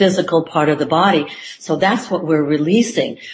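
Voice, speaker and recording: There is noticeable background noise behind a woman with a very deep, low pitch. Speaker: psychotherapist. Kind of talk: interview conversation.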